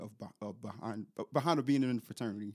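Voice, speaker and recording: Recorded very cleanly against a silent background, a man talks at a very fast pace in a dry, close sound with no echo. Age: 30s. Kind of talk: casual chat.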